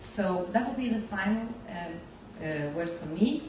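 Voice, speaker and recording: Noticeable background noise and audible room echo surround a woman speaking at a moderate pace. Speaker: youth organization leader. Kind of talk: speech.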